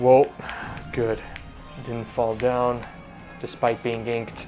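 Faint music plays in the background as a man speaks at a very slow pace in a monotone, flat intonation with long, frequent pauses. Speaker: gaming commentator. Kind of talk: live gameplay commentary. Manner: monotone in parts. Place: home room.

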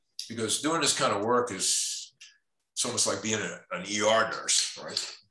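A man with a New York accent, at a very slow pace. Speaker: documentary photographer and teacher. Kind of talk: panel discussion presenting his photographs. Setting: video call.

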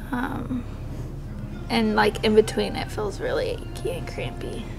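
There is noticeable background noise. A woman speaks over it at a moderate pace. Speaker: vlogger in labor. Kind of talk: casual vlog chat.

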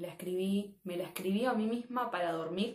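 In a room with audible echo and a quiet background, a woman with a Rioplatense accent talks at a fairly slow pace. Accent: Argentine Rioplatense Spanish. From Mar del Plata, Argentina. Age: 20s. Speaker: artist, writer, audiovisual arts student. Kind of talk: interview answer. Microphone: phone near.

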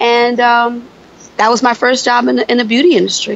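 A woman speaks in a high pitch, the sound dry with no echo and light background noise behind her. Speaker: podcast guest. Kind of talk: interview answer. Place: street.

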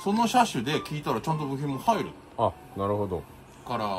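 A man speaking at a fairly quick pace over light background noise. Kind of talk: casual vlog chat. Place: workshop. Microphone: camera far.

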